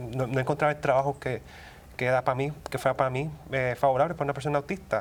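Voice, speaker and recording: At a fairly quick pace, a man talks in a fairly high-pitched voice. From Puerto Rico. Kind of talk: interview answer. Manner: hesitant, many fillers.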